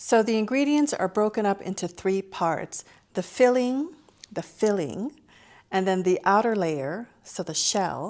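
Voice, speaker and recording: Spoken fairly slowly with lively intonation and a Lao accent, the voice comes through a very clean recording with a silent background. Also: woman, medium pitch for a woman. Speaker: cooking show host. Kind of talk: cooking tutorial. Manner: casual, friendly.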